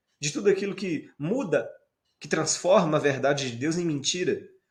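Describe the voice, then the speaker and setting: Audible room echo surrounds a man's voice. He speaks fairly slowly at a high pitch. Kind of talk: sermon.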